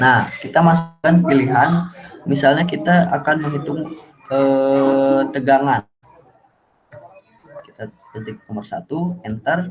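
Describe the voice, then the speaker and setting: A soft-spoken man with a fairly high pitch talks at a fairly slow pace with ordinary pitch variation and long, frequent pauses. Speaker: university student. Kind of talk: tutorial. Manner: halting. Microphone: too quiet.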